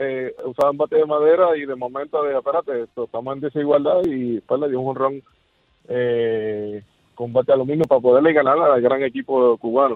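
A man speaks in a Puerto Rican accent with a medium pitch. His pace is fairly quick and his intonation fairly even. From Puerto Rico. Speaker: radio caller. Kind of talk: phone-in chat.

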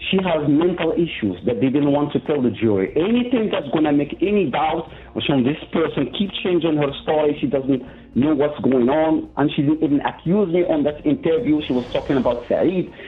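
With a Moroccan accent, a man talks at a moderate pace and with lively intonation. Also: fairly high pitch for a man, very even loudness. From Morocco. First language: Moroccan Arabic. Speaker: prison inmate. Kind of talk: interview testimony. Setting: phone call. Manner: halting.

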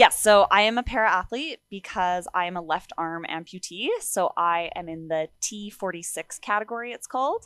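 A woman with a Canadian accent speaks in a bright, sharp tone with ordinary pitch variation, on a very clean recording with a silent background. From Alberta, Canada (Sherwood Park). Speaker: para-athlete runner. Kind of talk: interview conversation.

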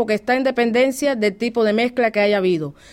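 In a Cuban accent, a woman speaks at a fairly high pitch. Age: 40s. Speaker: Cuban immigrant interviewee. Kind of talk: interview. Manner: animated.

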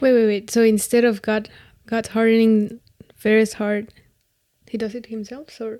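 At a moderate pace, a woman with a Spanish accent speaks in a fairly high pitch and a dark, mellow tone, her intonation monotone and flat. Her loudness swings widely, and she makes long, frequent pauses. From Mexico. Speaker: school volunteer. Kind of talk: casual Bible study chat.

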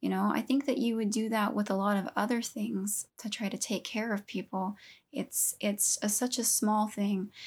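At a moderate pace, a woman with an American accent and a fairly high pitch speaks in a somewhat breathy voice with fairly even intonation, in a very clean recording with a silent background. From Southeast Texas. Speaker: podcast co-host. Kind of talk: casual chat.

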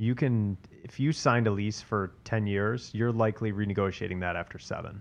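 This man has an ordinary speaking voice, fairly low in pitch, with an American accent. His intonation is fairly even over a quiet background. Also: fairly quick pace. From US South, Atlanta. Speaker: commercial real estate broker. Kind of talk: casual interview.

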